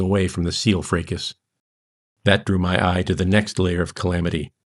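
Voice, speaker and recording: Pitched fairly low, the man has an ordinary speaking voice. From United States. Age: 50s. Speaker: author. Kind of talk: reading aloud.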